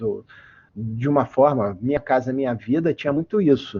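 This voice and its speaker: Moderately paced male speech in a normal speaking voice, medium in pitch, with lively intonation. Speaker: engineer and metrology researcher giving a guest lecture. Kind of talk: online lecture. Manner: frequent fillers and repetitions. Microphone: voice cutting out, unstable connection.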